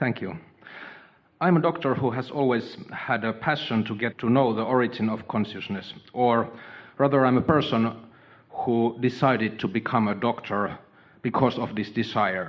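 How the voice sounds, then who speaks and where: A man with a strong non-native accent, medium pitch and ordinary pitch variation. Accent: thick foreign. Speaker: doctor. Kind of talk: audience Q&A with speaker. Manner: slow; halting, many fillers.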